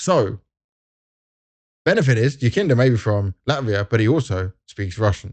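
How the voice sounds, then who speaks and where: A man's voice, dark and mellow in tone, moves at a fairly quick pace with lively intonation in a dry, close recording with no echo and a quiet background. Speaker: esports presenter. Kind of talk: casual video commentary. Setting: at an esports event.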